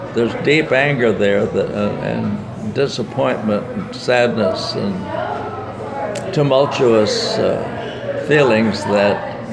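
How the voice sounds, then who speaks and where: With an American accent, a man speaks at a very slow pace amid noticeable background noise and audible room echo. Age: 90s. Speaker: war veteran. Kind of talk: interview. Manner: halting.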